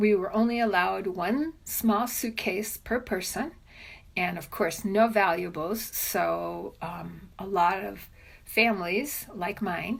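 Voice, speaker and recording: A woman with an American accent speaks at a very slow pace in a medium pitch, with vocal fry and ordinary pitch variation. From Cuba, Havana; US from age 10. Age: 60s. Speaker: immigrant sharing story. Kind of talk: interview testimony. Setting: at home.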